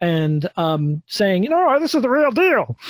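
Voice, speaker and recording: Dry and close with no echo, the recording carries a man's somewhat breathy voice. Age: 40s. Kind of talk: casual chat.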